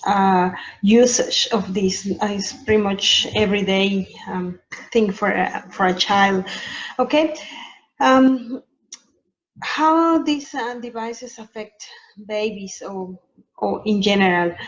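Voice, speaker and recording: Her delivery is very slow, with lively intonation and long, frequent pauses from this woman. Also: fairly high pitch for a woman. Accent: strong Mexican. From Mexico. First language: Spanish. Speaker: sleep consultant. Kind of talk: informational talk to camera. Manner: halting, many filler ums.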